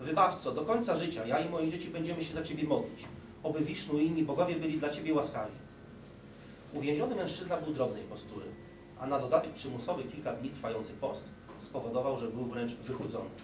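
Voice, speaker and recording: Noticeable noise fills the background. The words come out very fast. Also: man. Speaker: reader at a talk. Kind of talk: reading a story aloud. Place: hall. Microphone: podium.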